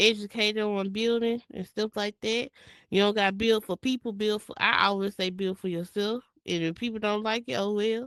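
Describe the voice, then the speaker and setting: A woman with a Mississippi accent speaks at a fairly high pitch and moderate pace with fairly even intonation. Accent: Mississippi country speech. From US South, Jackson, Mississippi. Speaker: virtual reality world builder and creator. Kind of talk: interview. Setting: virtual reality space. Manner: casual.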